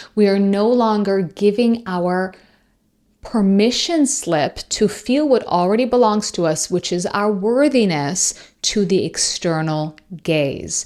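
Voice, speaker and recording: In a Persian accent, a woman speaks very slowly at medium pitch with lively intonation, on a very clean recording with a silent background. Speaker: podcast host and coach. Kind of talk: solo podcast talk.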